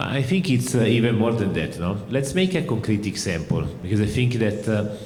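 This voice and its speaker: Speaking at a fairly quick pace with an Italian accent, a man keeps his loudness very even while his pitch swings very widely, with audible room echo and noticeable background noise. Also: medium pitch for a man. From Italy. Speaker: company managing director. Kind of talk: panel discussion.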